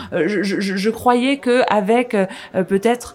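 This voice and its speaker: A woman talks at a fairly slow pace in a plain, everyday voice. Her pitch is fairly high, with ordinary variation. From France. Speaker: podcast host. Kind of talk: casual discussion.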